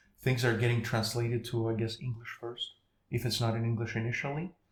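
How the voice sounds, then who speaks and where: The voice is somewhat breathy and delivered in a flat, monotone way. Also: man. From Ukraine. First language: Ukrainian. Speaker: podcast guest. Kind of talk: casual interview chat. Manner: halting, self-correcting.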